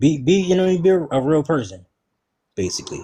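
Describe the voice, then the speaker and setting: Here is a man with an American accent and an ordinary speaking voice. He moves at a moderate pace with ordinary pitch variation. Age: 30s. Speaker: hoodoo practitioner. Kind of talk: casual chat.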